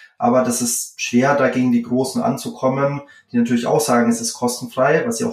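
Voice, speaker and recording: A man with a Franconian accent, speaking at a moderate pace. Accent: Franconian rolled R. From Franconia, Germany (Würzburg). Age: 30s. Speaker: startup founder and CEO. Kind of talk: interview.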